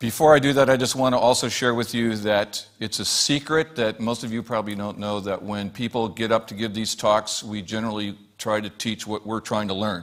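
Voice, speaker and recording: A man talks at a fairly quick pace with hardly any pauses. His intonation is fairly even, and background noise is noticeable. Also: fairly low pitch for a man. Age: 60s. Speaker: guest speaker at a spiritual church service. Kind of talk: sermon.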